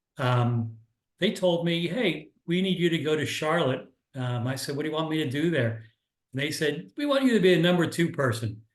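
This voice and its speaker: With an American accent, a man speaks at a fairly high pitch with lively intonation, and audible room echo surrounds his voice. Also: moderate pace. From US Northeast, Philadelphia area. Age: 60s. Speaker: business mentor. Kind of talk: online workshop presentation. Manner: casual, halting with fillers.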